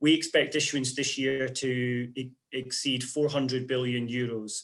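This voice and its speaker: A moderate pace from a man with a fairly high pitch. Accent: Scottish. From Scotland. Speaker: investment portfolio manager. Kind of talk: interview.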